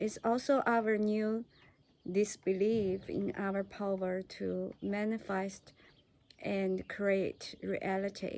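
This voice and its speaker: This woman talks at a very slow pace. She has a non-native accent. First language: not English. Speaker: vlogger. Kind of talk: personal talk to camera. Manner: halting, many fillers.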